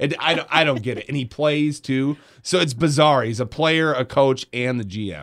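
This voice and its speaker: A man uses a normal speaking voice at a moderate pace, fairly high in pitch with ordinary pitch variation. The recording is very clean with a silent background. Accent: American. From Grand Rapids, Michigan. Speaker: radio host. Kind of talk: casual chat. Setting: studio.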